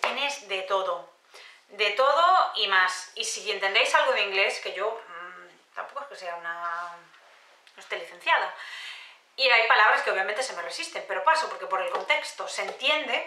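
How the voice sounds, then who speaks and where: The voice moves at a moderate pace with very wide pitch swings and big swings in loudness. Audible room echo surrounds it. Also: woman, fairly high pitch for a woman. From Spain. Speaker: beauty youtuber; beauty vlogger. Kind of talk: casual haul video monologue. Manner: hesitant with frequent fillers. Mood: enthusiastic, warm. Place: home room.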